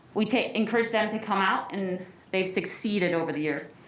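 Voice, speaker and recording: An American-accented woman at a moderate pace, with ordinary pitch variation, audible room echo and noticeable background noise. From northern US. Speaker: athletic trainer and parent at public comment. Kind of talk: public comment at school board meeting. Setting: school board meeting.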